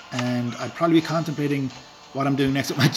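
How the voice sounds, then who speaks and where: Noticeable background noise sits behind a man's voice. He speaks at a medium pitch with fairly even intonation. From rural Ireland. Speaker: gaming streamer. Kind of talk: live stream commentary. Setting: live stream while playing a game. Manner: casual, hesitant with fillers.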